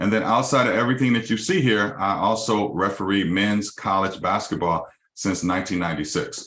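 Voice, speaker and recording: Speaking in an American accent with hardly any pauses, a man has a bright, sharp tone and very even loudness. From Los Angeles, California. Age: 50s. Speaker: mortgage company CEO. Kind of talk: business webinar presentation.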